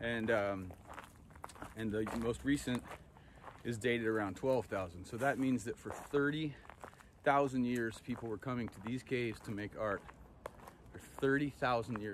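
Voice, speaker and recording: A man speaks at a moderate pace with ordinary pitch variation and long, frequent pauses. The sound is dry with no echo, over light background noise. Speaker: travel host. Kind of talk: casual vlog chat. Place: open country. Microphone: phone near.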